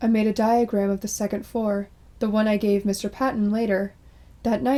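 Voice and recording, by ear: Natural-voiced reading aloud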